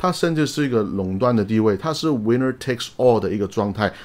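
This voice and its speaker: A man speaks in a normal speaking voice, at a medium pitch with ordinary variation. The recording is very clean, with a silent background. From outside Taiwan. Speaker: investing YouTuber. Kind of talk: solo explainer video. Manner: casual, frequent fillers and English interjections.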